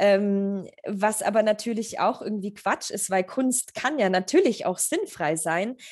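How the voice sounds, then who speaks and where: Against a quiet background, a woman of medium pitch talks at a fairly slow pace with hardly any pauses and ordinary pitch variation. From Germany, Augsburg area. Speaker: photographer. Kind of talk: interview. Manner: halting with many fillers.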